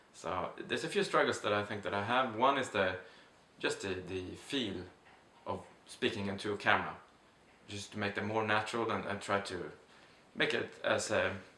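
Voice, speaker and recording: Heard with audible room echo, a man with a Swedish accent talks at a moderate pace in a bright, sharp tone, with ordinary pitch variation and long, frequent pauses. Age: 30s. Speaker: vlogger. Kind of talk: casual vlog monologue. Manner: halting, many fillers.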